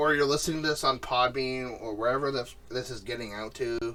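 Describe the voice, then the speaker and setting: A man talks over noticeable background noise. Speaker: podcast co-host. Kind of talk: casual chat.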